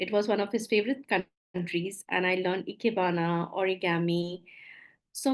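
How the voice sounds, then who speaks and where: Against a quiet background, a woman with an Indian accent speaks at a medium pitch and moderate pace, with very even loudness and fairly even intonation. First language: Maithili. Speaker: coach, former doctor. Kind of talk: webinar presentation. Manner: halting.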